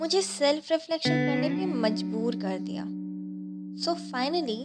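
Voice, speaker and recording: A woman's voice with music playing in the background. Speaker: spoken word poet. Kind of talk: spoken word poetry.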